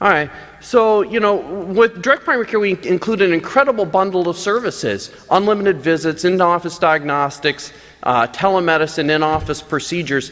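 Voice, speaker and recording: Talking at a fairly quick pace with a high pitch and lively intonation, a man is heard over noticeable background noise. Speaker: physician. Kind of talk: conference talk. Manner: fast; animated.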